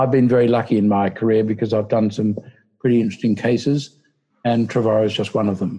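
The man's tone is dark and mellow. He talks at a very fast pace with monotone, flat intonation. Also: medium pitch for a man. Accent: Australian. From Australia. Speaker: human rights lawyer and political candidate. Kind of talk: interview.

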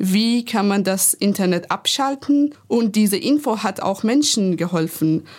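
Speaking with a Persian accent, a woman keeps a medium pitch, lively intonation and very even loudness at a fairly slow pace. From Iran. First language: Persian (speaking German). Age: 20s. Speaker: activist. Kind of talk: panel discussion.

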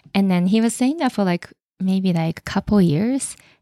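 In a dry, close recording with no echo, a woman speaks with lively intonation and a dark, mellow tone. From Japan. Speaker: ballet dancer. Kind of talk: interview. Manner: halting.

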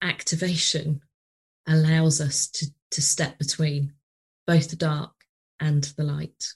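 A somewhat breathy woman with a very deep, low pitch, a fairly slow pace and a British accent. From UK. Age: 40s. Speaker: podcast host, business coach. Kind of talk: interview conversation; psychic card reading.

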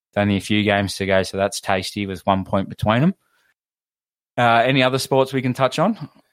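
The recording is very clean, with a silent background. A man with an Australian accent speaks at a fairly quick pace, his medium pitch showing ordinary variation. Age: 20s. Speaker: podcast host. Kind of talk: casual chat.

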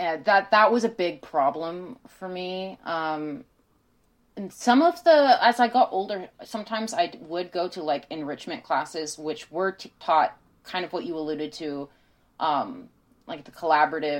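A woman speaks at a moderate pace with lively intonation and big swings in loudness, in a plain, everyday voice. The background is quiet. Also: fairly low pitch for a woman. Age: 20s. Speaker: podcast guest. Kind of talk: casual chat.

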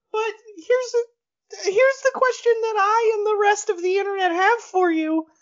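Someone uses a put-on character voice at a moderate pace, with ordinary pitch variation and long, frequent pauses. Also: woman, extremely high pitch for a woman. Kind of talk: comic sketch acting. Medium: comedy sketch.

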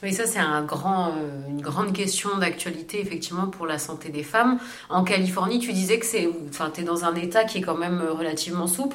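A woman's fairly low voice at a fairly quick pace with ordinary pitch variation, plus audible room echo and noticeable background noise. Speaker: podcast co-host. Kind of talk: casual interview.

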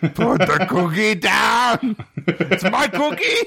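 A man doing a put-on character voice talks at a very slow speed, his voice pitched high. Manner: angry, protective of the cookie.

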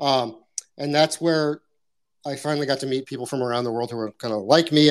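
Very fast pace from a man with fairly high pitch and fairly even intonation, on a very clean recording with a silent background. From US Midwest. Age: 30s. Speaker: artist and animation professor. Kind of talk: interview. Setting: live audio chat room.

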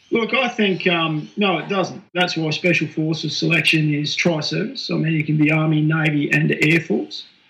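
Hardly pausing at all, a man talks at a fairly high pitch with an Australian accent. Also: ordinary pitch variation, moderate pace. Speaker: military veteran. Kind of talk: casual chat.

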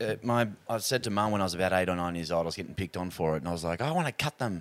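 An Australian-accented man speaks at a very fast pace with a very deep, low pitch. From Australia (Sydney, New South Wales). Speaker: singer. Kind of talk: casual chat.

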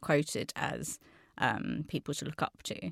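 A woman speaks at a fairly slow pace with a very deep, low pitch and vocal fry, in a very clean recording with a silent background and a dry, close sound with no echo. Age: 40s. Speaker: agency chief executive. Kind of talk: panel discussion. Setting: studio.

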